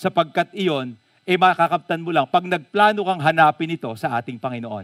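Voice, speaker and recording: At a moderate pace, a man speaks in an animated tone with lively intonation, the sound dry and close with no echo. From Philippines, Bulacan. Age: 50s. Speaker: pastor. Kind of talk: sermon.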